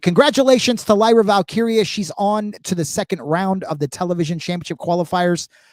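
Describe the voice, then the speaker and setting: A man speaks at a high pitch with lively intonation and an animated tone. The sound is dry and close, with no echo. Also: very clean recording, silent background. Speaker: wrestling commentator. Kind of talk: live commentary.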